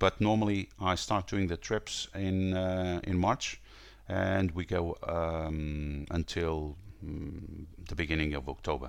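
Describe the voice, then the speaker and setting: A man with a Portuguese accent, very deep and low in pitch, at a very slow pace with ordinary pitch variation. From northern Portugal. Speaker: tour company owner. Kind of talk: interview. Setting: remote call. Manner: hesitant, many fillers.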